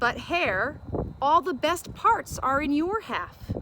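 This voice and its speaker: A woman puts on a growling character voice with a high pitch, speaking at a fairly slow pace over clear background noise. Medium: read story. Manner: slow, grumbling.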